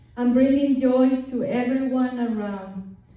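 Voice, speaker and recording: Noticeable background noise surrounds the clip. A woman speaks at a fairly slow pace in a high voice. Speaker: mother of the bride. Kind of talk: wedding speech.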